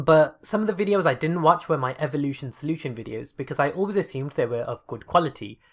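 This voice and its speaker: The speech runs very fast with hardly any pauses, on a very clean recording with a silent background. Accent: British. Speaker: gaming YouTuber. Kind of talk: casual reaction commentary.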